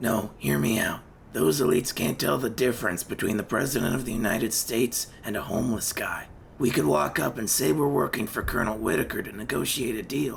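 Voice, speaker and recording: In a raspy, put-on character voice with lively intonation, the speaker moves at a fairly quick pace against clear background noise. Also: man, medium pitch for a man. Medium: machinima. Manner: blunt, casual.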